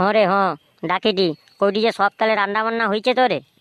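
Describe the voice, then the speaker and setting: Using a cartoonish character voice, a woman speaks at a fairly quick pace and medium pitch, with fairly even intonation and very even loudness. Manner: soft, obliging.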